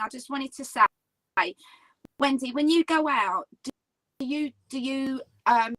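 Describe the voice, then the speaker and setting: A woman's raised, projected voice, high-pitched with a bright, sharp tone, big swings in loudness, and a dry, close sound with no echo. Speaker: paranormal investigator. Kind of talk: casual chat. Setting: live video chat.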